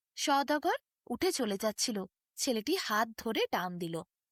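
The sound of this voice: In a very clean recording with a silent background and a dry, close sound with no echo, a woman speaks at a fairly slow pace in a fairly high pitch with big pitch swings.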